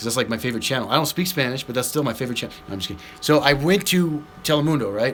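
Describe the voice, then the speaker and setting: A man's very fast, fairly high voice with an American accent and lively intonation, over noticeable background noise. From US Southwest. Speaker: slot machine streamer. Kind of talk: live stream commentary. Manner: animated.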